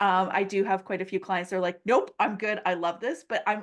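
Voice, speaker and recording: A woman with a medium-pitched voice speaks at a fairly quick pace. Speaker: virtual assistant business owner. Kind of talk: casual podcast discussion. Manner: fast; animated.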